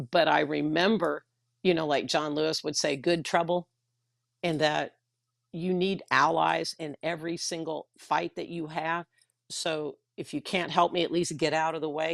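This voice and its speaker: A woman's very deep, low voice with vocal fry, monotone, flat intonation and a Texan accent, in a dry, close sound with no echo. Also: moderate pace, very clean recording, silent background. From Texas. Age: 60s. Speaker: retired teacher and union activist. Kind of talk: livestream discussion. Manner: blunt.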